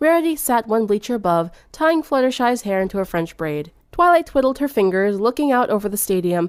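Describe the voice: The speaker is reading aloud. The reading is plain.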